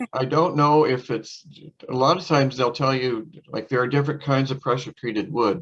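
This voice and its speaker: A man talks in an unremarkable speaking voice. His pace is moderate and his pitch medium. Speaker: master gardener giving a talk. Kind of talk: lecture with Q&A.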